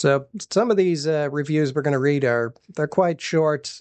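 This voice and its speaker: At a moderate pace and with ordinary pitch variation, a man uses an ordinary speaking voice against a quiet background. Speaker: radio show host, library staff. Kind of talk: casual radio show banter.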